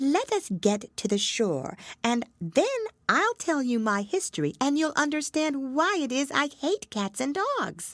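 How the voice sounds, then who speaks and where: In a put-on character voice, a female-sounding speaker goes high in pitch for a woman, shaky and swinging very widely in pitch. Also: fairly slow pace. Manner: trembling, pale with passion.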